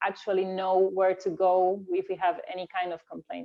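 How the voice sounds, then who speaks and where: A woman with a non-native accent speaks at medium pitch. Her pace is moderate. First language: not English. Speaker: fencing coach. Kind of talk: panel discussion. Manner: halting, many fillers and repeats.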